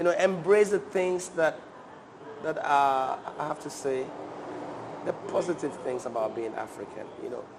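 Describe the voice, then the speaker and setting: Over noticeable background noise, a man with a fairly high pitch speaks at a moderate pace with lively intonation. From Ghana, Ga people from Accra. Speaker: guest, music and culture enthusiast. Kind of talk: interview conversation. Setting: cafe, on camera. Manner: repetitive, hesitant phrasing.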